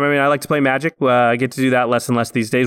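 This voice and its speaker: Monotone, flat delivery from a man at medium pitch, on a very clean recording with a silent background. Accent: Pacific Northwest. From Oregon, small town outside Portland. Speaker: film visual effects artist and podcast co-host. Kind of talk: casual interview.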